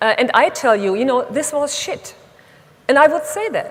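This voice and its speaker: A high-pitched woman with a German accent, very wide pitch swings, and a moderate pace over noticeable background noise. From Germany. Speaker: speaker on women in leadership. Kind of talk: conference talk. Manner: blunt.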